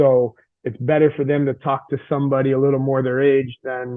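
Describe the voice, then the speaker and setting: Medium in pitch, a man talks at a fairly quick pace. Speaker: high school strength coach. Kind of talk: podcast interview. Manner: fast; intense.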